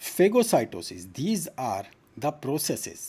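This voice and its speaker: This man's voice has a dark, mellow tone with vocal fry. He talks at a moderate pace, and his pitch swings very widely. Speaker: medical teacher. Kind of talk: online lecture. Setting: live stream.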